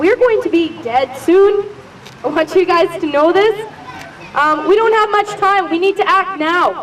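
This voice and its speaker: Crowd noise fills the background as a woman with an extremely high pitch speaks at a moderate pace with ordinary pitch variation. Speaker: activist and mayoral candidate. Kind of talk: protest speech. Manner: loud.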